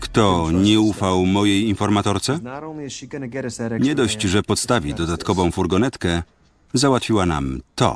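A man speaks at a fairly slow pace and a fairly low pitch, with lively intonation, very even loudness and long, frequent pauses. The sound is dry with no echo, though background noise is noticeable. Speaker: film voice-over reader. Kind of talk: film voice-over translation read. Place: booth. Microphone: studio mic.

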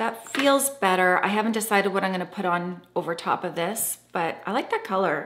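This is a woman with a medium pitch. Her pace is moderate. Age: 50s. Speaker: makeup artist and beauty vlogger; beauty vlogger. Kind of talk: makeup tutorial. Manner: chatty. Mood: relaxed, upbeat. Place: home room.

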